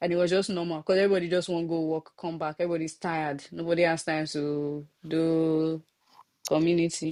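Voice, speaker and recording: A woman with a Nigerian accent speaks fairly quickly in a fairly low, dark and mellow voice, her intonation monotone and flat. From Nigeria (Lagos). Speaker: podcast host. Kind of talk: casual chat.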